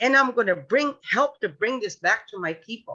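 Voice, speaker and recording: A woman's high-pitched voice has a bright, sharp tone. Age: 70s. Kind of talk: panel discussion.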